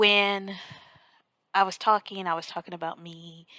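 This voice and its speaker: A woman talks quietly at a fairly slow pace, her intonation flat and monotone. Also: very clean recording, silent background. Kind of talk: informal devotional talk to camera. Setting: on vacation, others asleep nearby. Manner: quiet, hushed.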